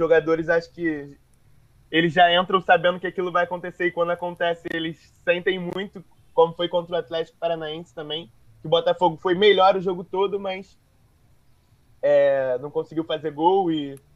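This man has a high pitch and monotone, flat intonation. He keeps a moderate pace broken by long, frequent pauses. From Rio de Janeiro. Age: 20s. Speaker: football podcast co-host, Botafogo fan. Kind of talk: casual football chat. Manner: halting.

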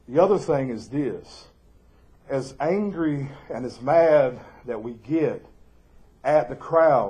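With a Southern US accent, a man speaks in a dark, mellow tone that is somewhat breathy, his intonation lively and the room echo audible. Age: 40s. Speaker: pastor. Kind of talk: sermon. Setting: church live stream.

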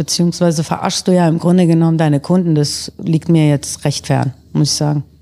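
A woman's dark, mellow voice, fairly low in pitch, with monotone, flat intonation at a fairly quick pace. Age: 50s. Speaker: fashion designer and business owner. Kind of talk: casual chat.

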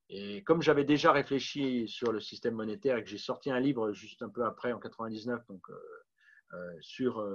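Over a quiet background, a man talks at a moderate pace at a medium pitch. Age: 50s. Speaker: political candidate and author. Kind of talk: interview. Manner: halting.

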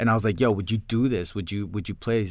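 Man with a New York accent on a very clean recording, silent background. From New York, Queens. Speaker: filmmaker and actor. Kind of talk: interview. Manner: halting.

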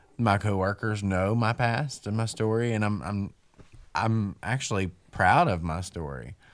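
A man's fairly low voice with an Appalachian accent, fairly slow and with ordinary pitch variation, on a very clean recording with a silent background. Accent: Southern US (Appalachian). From West Virginia and North Carolina. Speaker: person in recovery. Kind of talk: casual interview.

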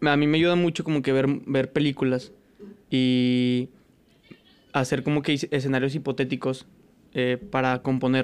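A man's medium-pitched voice at a fairly slow pace, with long, frequent pauses, fairly even intonation and very even loudness. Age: 20s. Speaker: musician and DJ. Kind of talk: casual chat.

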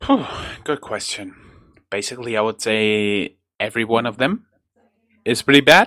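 A man speaks with a bright, sharp tone and ordinary pitch variation. He leaves long, frequent pauses. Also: medium pitch for a man, moderate pace. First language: German. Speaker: podcast host. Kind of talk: casual chat.

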